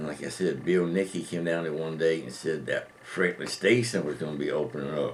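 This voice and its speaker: A man's very deep, low voice at a fairly quick pace, with ordinary pitch variation, hardly any pauses, and noticeable background noise. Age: old. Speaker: formerly homeless man. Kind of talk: interview.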